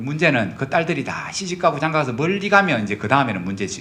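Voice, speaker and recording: Fairly high-pitched for a man, this male voice has vocal fry, a bright, sharp tone and very wide pitch swings. He talks at a fairly quick pace with audible room echo. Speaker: pastor. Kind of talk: sermon. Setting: church. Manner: conversational, frequent tag questions.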